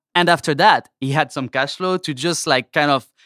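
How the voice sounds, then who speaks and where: A man with a French accent speaks at a moderate pace with a fairly high pitch and ordinary pitch variation. The sound is dry and close with no echo, on a very clean recording with a silent background. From France. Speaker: toy company sales representative. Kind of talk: casual interview. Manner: hesitant, many fillers.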